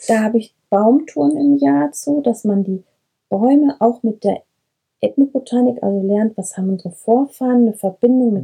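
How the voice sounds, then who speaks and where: A woman's voice, somewhat breathy, carries a dark, mellow tone at a fairly high pitch. She keeps a moderate pace. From Breckerfeld, Ennepe-Ruhr-Kreis, western Germany. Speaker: herbalist and kindergarten teacher. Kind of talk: interview. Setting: shepherd's wagon in herb garden.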